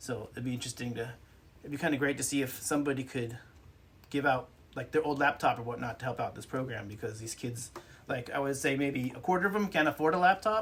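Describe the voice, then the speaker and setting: This man's pitch is medium. He speaks very fast. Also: ordinary pitch variation. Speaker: podcast co-host. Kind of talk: casual chat.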